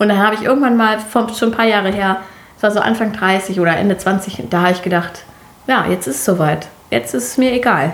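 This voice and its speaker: Against noticeable background noise, a woman with a medium pitch talks at a fairly quick pace with lively intonation. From Germany. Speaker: podcast co-host. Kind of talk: casual chat.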